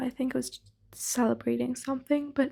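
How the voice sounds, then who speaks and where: A soft-spoken woman, whispering. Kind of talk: ASMR soft-spoken ramble. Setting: close microphones. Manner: soft-spoken, quiet, whispery.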